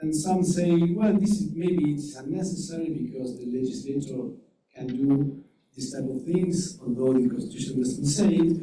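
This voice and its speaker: A man's fairly high voice with a Uruguayan accent, ordinary pitch variation, a moderate pace and audible room echo. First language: Spanish. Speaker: legal scholar. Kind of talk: conference presentation. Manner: halting.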